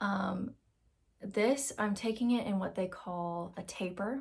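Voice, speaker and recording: Soft-spoken and somewhat breathy, a woman speaks at a fairly slow pace with long, frequent pauses. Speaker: vlogger with Crohn's disease. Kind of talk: casual vlog talk to camera.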